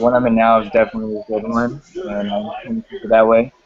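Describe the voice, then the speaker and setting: Noticeable background noise sits under a man speaking with an American accent. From Chinese American. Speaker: R&B musician. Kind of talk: panel discussion.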